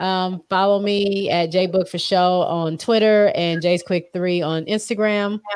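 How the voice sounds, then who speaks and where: A woman with a normal speaking voice and a medium pitch talks at a fairly slow pace with fairly even intonation and hardly any pauses. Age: under 65. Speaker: podcaster. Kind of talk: casual chat. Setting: live-streamed video call.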